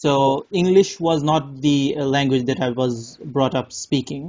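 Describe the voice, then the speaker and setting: A man with a Bengali accent talks at a fairly slow pace, his fairly high pitch held in fairly even intonation. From Bangladesh. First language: Bangla. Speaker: English test tutor. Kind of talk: casual chat. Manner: halting.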